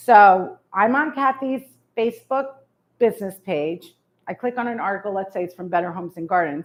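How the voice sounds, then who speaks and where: Animated in tone, a woman speaks with a New York accent at medium pitch. Her pace is fairly quick and her intonation lively. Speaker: real estate marketing speaker. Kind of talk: presentation to realtors. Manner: fast.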